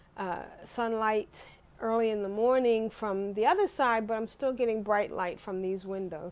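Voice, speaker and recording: A woman speaks at a fairly slow pace. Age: 60s. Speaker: retiree; retiree vlogger. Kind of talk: casual talk to camera. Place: home room. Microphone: lapel.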